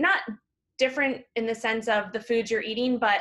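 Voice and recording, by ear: The tone is fairly bright. Pace is moderate, with ordinary pitch variation. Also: woman, fairly high pitch for a woman.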